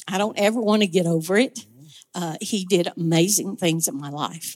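The recording has a normal speaking voice with lively intonation and a dry, close sound with no echo. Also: woman. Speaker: ministry volunteer. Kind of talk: testimony. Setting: church.

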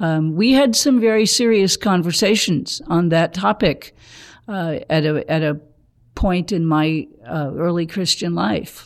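Fairly slow, lively speech from a woman with a fairly low pitch, against a quiet background. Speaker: blind churchgoer. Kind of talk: casual chat. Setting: studio. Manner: halting.

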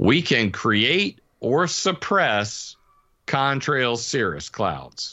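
A man with an American accent, vocal fry, very wide pitch swings and a very slow pace. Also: medium pitch for a man. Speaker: weather modification researcher. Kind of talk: interview.

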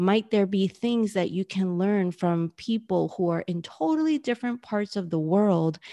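Over a quiet background, a woman with a New York accent, a medium pitch and a dark, mellow tone talks at a moderate pace with lively intonation and hardly any pauses, in a dry, close sound with no echo. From New York City. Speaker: business coach. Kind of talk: interview.

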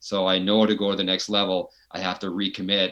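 A man with a Canadian accent speaks at a very deep, low pitch with monotone, flat intonation. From British Columbia, Canada (Fraser Valley). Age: 40s. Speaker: retired ayahuasca shaman, now farmer. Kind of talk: casual interview conversation.

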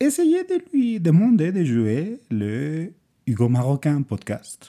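A dark, mellow tone with very wide pitch swings. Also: man. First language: Spanish (speaking French). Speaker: podcast host. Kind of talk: scripted monologue, recommendations.

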